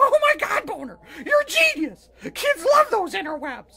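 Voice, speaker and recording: A man puts on a raspy, cartoonish character voice at an extremely high pitch. His pitch swings very widely at a moderate pace. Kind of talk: crude puppet comedy. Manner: loud, melodramatic, whiny.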